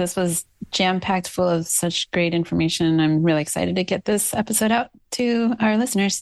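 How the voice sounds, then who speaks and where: The clip has an ordinary speaking voice moving at a fairly quick pace, with ordinary pitch variation and hardly any pauses. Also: woman, medium pitch for a woman. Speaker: podcast co-host. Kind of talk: casual chat.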